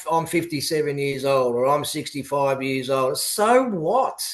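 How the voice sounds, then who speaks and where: At a moderate pace, a man with an Australian accent speaks with lively intonation. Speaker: politician and youth advocate. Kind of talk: radio interview. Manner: halting.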